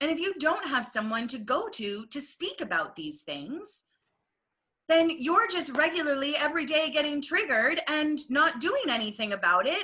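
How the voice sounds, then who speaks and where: A woman projects a raised, high voice with a bright, sharp tone. Her pitch swings very widely at a moderate pace. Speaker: stage manager. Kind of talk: casual chat. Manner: loud; animated.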